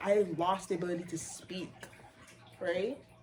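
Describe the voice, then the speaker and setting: A woman speaks at a moderate pace in an animated tone. Noticeable background noise runs underneath. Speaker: retail sales worker. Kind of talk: casual chat.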